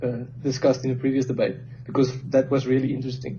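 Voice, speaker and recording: A man speaks with a non-native accent. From South Africa. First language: not English. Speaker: industrial engineer, debater. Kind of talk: informal debate.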